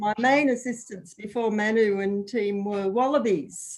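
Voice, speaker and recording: A woman speaks with an Australian accent. Her pitch is fairly high and her intonation fairly even. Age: 70s. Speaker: retired landowner. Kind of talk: casual chat.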